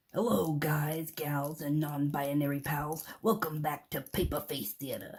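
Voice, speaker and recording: A cartoonish character voice at low-to-middle pitch moves at a moderate pace with hardly any pauses. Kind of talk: variety show host patter. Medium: puppet show.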